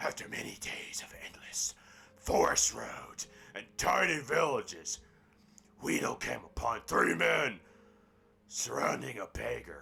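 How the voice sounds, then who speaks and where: In a raspy, put-on character voice, a man moves at a fairly slow pace with long, frequent pauses. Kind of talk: halting fable read-aloud. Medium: game stream. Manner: stumbling, self-correcting.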